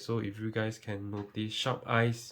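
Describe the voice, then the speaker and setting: A somewhat breathy voice proceeds at a fairly slow pace. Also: man. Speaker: tech youtuber. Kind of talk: tutorial. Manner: mumbling.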